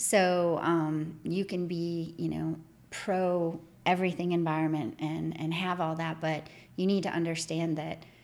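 A woman with an American accent, fairly low in pitch, at a fairly slow pace with monotone, flat intonation and audible room echo. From northern Michigan. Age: 40s. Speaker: environmental regulatory consultant. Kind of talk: casual interview.

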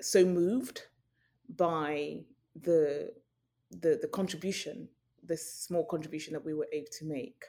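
A woman with a British accent talks at a fairly slow pace, her fairly low pitch carrying a dark, mellow tone and lively intonation. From Nigeria, then raised in UK. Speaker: journalist, news correspondent. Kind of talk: interview.

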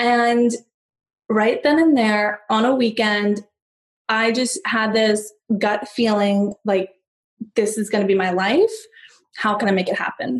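Speaking at a fairly slow pace with long, frequent pauses, a woman with an American accent has a fairly high pitch and fairly even intonation. Her voice is somewhat breathy. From US, San Diego. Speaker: negotiation coach. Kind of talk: podcast interview.

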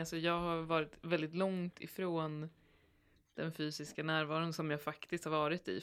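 A woman with a fairly low voice speaks at a moderate pace in a flat, monotone way. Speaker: podcast co-host. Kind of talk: casual chat.

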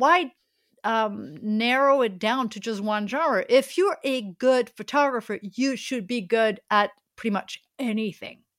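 On a very clean recording with a silent background, a woman with a French accent speaks very slowly in a fairly high voice, her intonation lively and her loudness swinging widely. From France. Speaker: street photographer and workshop teacher. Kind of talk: casual interview.

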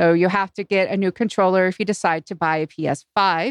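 A normal speaking voice from a woman, moderate pace and ordinary pitch variation, in a dry, close sound with no echo. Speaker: podcaster. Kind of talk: casual chat. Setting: live-streamed remote recording.

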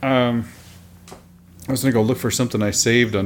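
A very fast delivery in an American accent, with ordinary pitch variation. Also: man. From Oklahoma. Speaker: podcast co-host. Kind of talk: casual chat. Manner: sarcastic, laughs often.

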